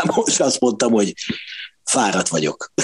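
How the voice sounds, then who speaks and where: A man speaks at a moderate pace with lively intonation. The sound is dry and close, with no echo. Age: 50s. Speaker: backstage insider, music fan. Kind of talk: casual chat.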